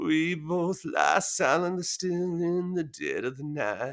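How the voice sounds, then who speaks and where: A man puts on a character voice, pitched high and creaky. He talks at a fairly slow pace. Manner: strained, low, breathy-creaky.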